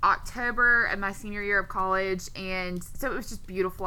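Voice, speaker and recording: A woman speaks in a normal speaking voice at medium pitch and a moderate pace. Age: 20s. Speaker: podcast co-host. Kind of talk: casual chat.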